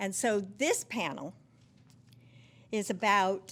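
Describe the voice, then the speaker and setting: The recording is very clean and the background silent. A woman talks at a mid-range pitch, with normal pitch movement. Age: 70s. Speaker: panel moderator. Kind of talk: town hall panel moderation. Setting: town hall with live audience. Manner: halting, with fillers.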